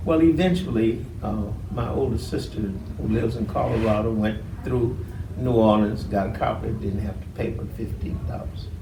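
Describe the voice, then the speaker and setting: Noticeable background noise sits behind a man with a fairly low voice. He speaks at a moderate pace with lively intonation. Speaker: voting rights activist. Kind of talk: interview answer.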